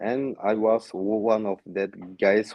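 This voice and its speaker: Intonation stays fairly even as a man speaks very slowly. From Yakutia, Russia. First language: Yakut or Russian. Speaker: film director. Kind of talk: interview Q&A. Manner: halting.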